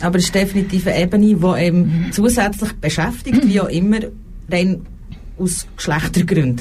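With audible room echo, a woman talks at a medium pitch and with ordinary pitch variation. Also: moderate pace. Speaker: radio host. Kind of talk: talk show interview. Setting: radio studio.

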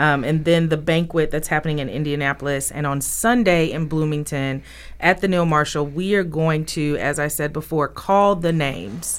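A woman with a Southern US accent and a very deep, low pitch, ordinary pitch variation, a moderate pace and hardly any pauses. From Mississippi, Jackson. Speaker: cultural center director. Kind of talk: interview. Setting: radio studio.

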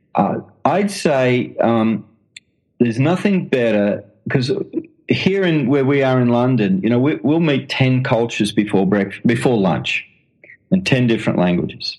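This man speaks with an Australian accent, his pitch swinging very widely. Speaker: missionary and author. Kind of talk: interview. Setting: phone call. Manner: halting.

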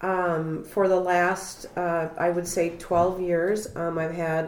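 A woman with a fairly low pitch speaks in a Midwestern US accent. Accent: US Midwest. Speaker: public health worker. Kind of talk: testimony. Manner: halting.

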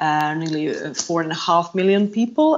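A woman with a Croatian accent speaks at a fairly low pitch. Her pitch variation is ordinary. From Croatia, Zagreb. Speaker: yacht purser. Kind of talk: casual interview.

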